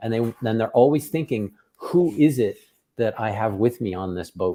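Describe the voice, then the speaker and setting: A man's dark, mellow voice at a moderate pace with ordinary pitch variation, on a very clean recording with a silent background. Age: 50s. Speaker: tech company founder and podcast host. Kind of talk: casual podcast chat.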